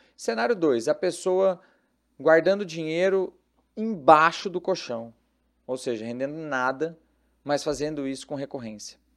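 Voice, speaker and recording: On a very clean recording with a silent background, a man speaks fairly slowly with lively intonation, a fairly high pitch and long, frequent pauses. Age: 30s. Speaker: investment advisor. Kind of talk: casual chat.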